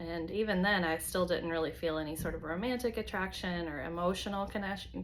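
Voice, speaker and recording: A woman with an American accent speaks at a fairly low pitch with vocal fry. Room echo is audible. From US South, North Carolina. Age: 40s. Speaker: vlogger. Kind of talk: personal video diary. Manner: hesitant, many fillers.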